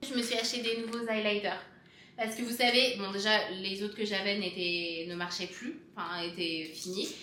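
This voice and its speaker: A woman's medium-pitched, animated voice at a moderate pace, with audible room echo and noticeable background noise. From France. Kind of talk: casual vlog.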